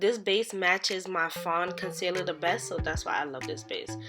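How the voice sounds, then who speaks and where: A woman with a medium pitch speaks over music in the background. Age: 20s. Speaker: beauty salon owner, makeup vlogger. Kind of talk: makeup tutorial voiceover. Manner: casual, chatty.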